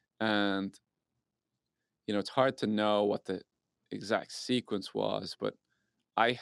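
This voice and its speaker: Very slow speech from a man with an Irish accent at a fairly low pitch, in a dry, close sound with no echo on a very clean recording with a silent background. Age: 30s. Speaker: tech startup co-founder. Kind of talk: casual interview. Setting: call.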